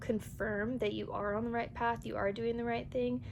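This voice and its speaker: Room echo is audible around a woman as she talks. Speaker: tarot reader. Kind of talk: tarot reading to camera. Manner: casual.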